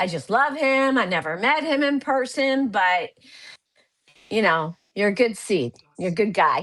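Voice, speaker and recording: In a very clean recording with a silent background, a woman speaks at a fairly slow pace in a fairly high voice. Her pitch swings very widely, and she leaves long, frequent pauses. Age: 60s. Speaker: nurse and health coach. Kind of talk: casual chat.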